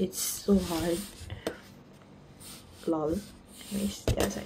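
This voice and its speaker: A woman speaks with ordinary pitch variation. Loud background noise runs behind her. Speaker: vlogger. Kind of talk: casual vlog chat. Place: home room.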